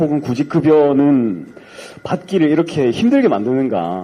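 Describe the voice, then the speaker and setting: A man speaks at a very slow pace in a dark, mellow tone. His pitch swings are very wide. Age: young. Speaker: young audience member at party event. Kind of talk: public question at town hall. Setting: event hall with audience, microphone. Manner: hesitant, filler words.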